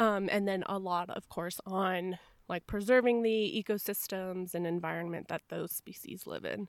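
The sound is dry and close with no echo as a woman speaks in an ordinary speaking voice. Her medium pitch holds fairly even intonation at a moderate pace. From Arizona, US Southwest. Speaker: psychology PhD candidate. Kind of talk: casual interview.

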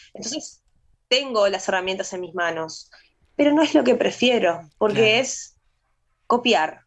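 A woman's fairly high-pitched voice with lively intonation, a fairly slow pace, long and frequent pauses, and big swings in loudness. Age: 30s. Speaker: painter and singer. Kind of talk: radio interview.

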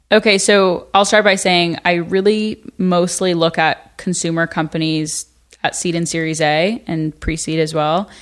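A woman speaks with an ordinary speaking voice, fairly low in pitch and at a fairly slow pace. The recording is very clean, with a silent background. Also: fairly even intonation. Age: 20s. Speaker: venture capital investor and university student. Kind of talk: casual chat. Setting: in person in the hosts' headquarters.

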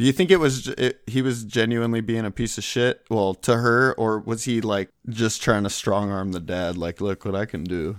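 A man with a normal speaking voice talks at medium pitch and a moderate pace with ordinary pitch variation and hardly any pauses, the recording very clean with a silent background and a dry, close sound with no echo. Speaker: co-host. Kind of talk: casual comedic banter.

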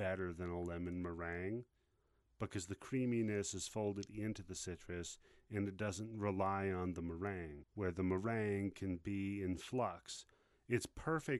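A man's ordinary speaking voice, fairly low in pitch, at a fairly slow pace with ordinary pitch variation, against a quiet background. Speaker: podcast host. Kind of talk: casual comedic banter. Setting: studio. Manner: playful, theatrical.

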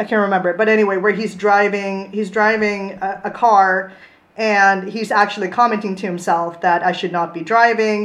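In a Swedish accent, a woman with a medium pitch talks at a moderate pace in a monotone, flat intonation. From Sweden. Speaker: comics blogger. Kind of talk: casual chat. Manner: halting.

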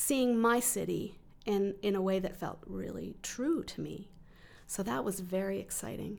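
A woman with a Western Canadian accent, medium pitch, lively intonation and a fairly slow pace. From Calgary, Canada. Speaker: writer and literary researcher. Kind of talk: interview.

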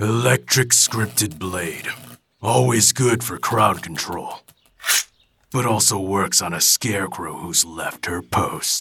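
A raspy man speaks in a fairly low pitch with lively intonation. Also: fairly slow pace. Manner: gruff, blunt, mocking.

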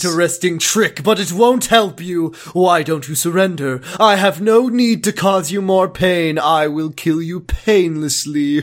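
A put-on character voice from a man, high-pitched, at a moderate pace over light background noise. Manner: menacing, smug.

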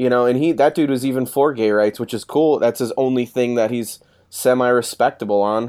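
Using a normal speaking voice, a man with an American accent talks at medium pitch and a moderate pace with fairly even intonation. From Chicago, South Side. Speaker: author. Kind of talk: casual interview. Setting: remote from his office.

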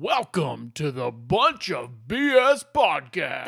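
This man uses a put-on character voice pitched fairly high. He speaks at a very slow pace. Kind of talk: polished, announcer-like broadcast delivery. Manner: exaggerated, performed intro.

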